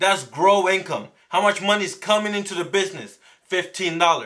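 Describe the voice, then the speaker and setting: This man speaks at a moderate pace in a high pitch, with ordinary pitch variation. His voice is raised and projected. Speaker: small business owner and online entrepreneur. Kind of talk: live stream talk to chat viewers. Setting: live stream. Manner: stumbles over some words; casual, conversational.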